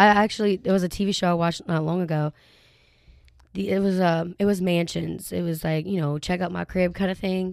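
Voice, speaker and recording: A woman speaks in a Louisiana accent. Her pitch is fairly low and her intonation fairly even. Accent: Southern US (Louisiana). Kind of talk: casual chat.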